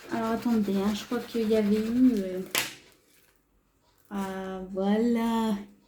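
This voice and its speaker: With audible room echo, a woman speaks at a very slow pace with long, frequent pauses, a fairly high pitch and flat, monotone intonation. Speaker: craft youtuber. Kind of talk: tutorial. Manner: hesitant, filler-heavy.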